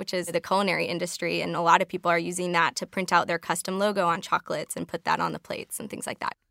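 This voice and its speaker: Someone with an American accent speaks at a very fast pace, with vocal fry, fairly even intonation, and a bright, sharp tone. The recording is very clean and dry, close-miked with a silent background and no echo. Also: woman, hardly any pauses. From Chicago. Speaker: technology consultant. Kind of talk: casual interview chat.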